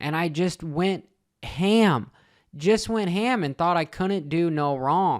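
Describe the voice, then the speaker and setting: A man speaks loud at a high pitch and a very slow pace, with ordinary pitch variation. The recording is very clean, with a silent background. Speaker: crypto trading youtuber. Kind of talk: casual vlog monologue. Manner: halting, repeats words.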